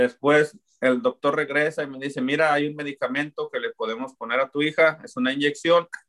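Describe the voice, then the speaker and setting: Recorded dry and close with no echo, a man with a plain, everyday voice talks at a fairly quick pace and a fairly high pitch. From Mexico, Zapopan (Guadalajara), Jalisco. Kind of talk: faith testimony.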